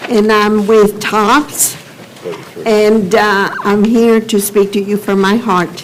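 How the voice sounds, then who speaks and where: At a very slow pace and with very even loudness, a woman of medium pitch speaks in a monotone, flat manner over noticeable background noise. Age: 80s+. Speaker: public commenter at county meeting. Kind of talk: public testimony. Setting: public government meeting. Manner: halting.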